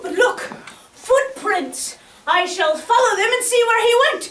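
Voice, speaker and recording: An extremely high put-on character voice comes at a fairly slow pace. There is slight echo on it. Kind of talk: comic overacting. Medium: stage play. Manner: theatrical, laughing often.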